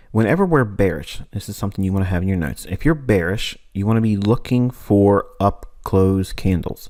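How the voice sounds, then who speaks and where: Recorded very cleanly against a silent background, a normal speaking voice moves at a moderate pace with ordinary pitch variation. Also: man. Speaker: trading teacher. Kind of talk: tutorial.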